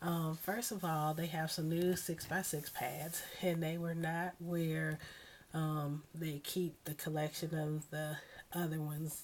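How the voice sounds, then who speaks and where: A woman's very deep, low voice with monotone, flat intonation. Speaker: scrapbooking hobbyist. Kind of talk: casual talk to camera.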